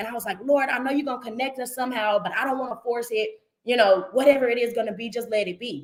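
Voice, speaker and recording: Barely pausing, a woman speaks very fast in a high voice with an animated tone and ordinary pitch variation. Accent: American. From North Carolina. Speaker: livestream show host. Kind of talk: live stream casual talk.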